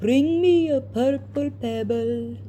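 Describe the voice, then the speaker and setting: The speaker uses a put-on character voice. Background noise is clearly audible. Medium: read story.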